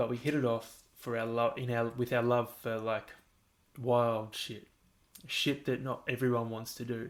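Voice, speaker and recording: A man with an Australian accent talks at a medium pitch and fairly slow pace, his intonation monotone and flat. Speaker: podcast host. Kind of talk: casual monologue. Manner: rambling, halting.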